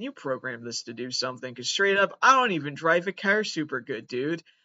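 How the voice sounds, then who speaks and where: A man with an American accent talks at a fairly quick pace, his intonation lively. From Massachusetts. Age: 20s. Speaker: comedian. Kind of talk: comedic monologue.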